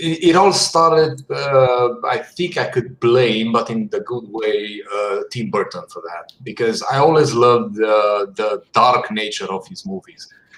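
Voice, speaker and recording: Speaking at a fairly slow pace with a non-native accent, a man barely pauses while his loudness swings widely. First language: not English. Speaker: concept artist. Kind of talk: casual chat. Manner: halting.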